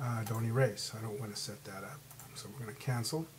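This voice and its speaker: The speaker sounds somewhat breathy, moving at a fairly quick pace with fairly even intonation. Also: man. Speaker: Mac tech tutorial creator. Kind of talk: tutorial. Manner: fast; casual, hesitant with fillers.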